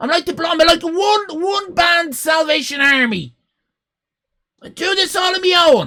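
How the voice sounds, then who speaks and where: A shouting man at an extremely high pitch, bright, sharp and animated in tone, with ordinary pitch variation, big swings in loudness and a fairly slow pace. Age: 50s. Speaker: streamer. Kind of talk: live stream chat.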